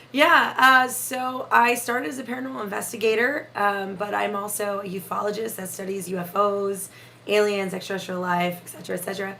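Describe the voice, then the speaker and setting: A woman at a medium pitch speaks fairly quickly with lively intonation, and room echo is audible. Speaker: paranormal investigator. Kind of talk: casual chat.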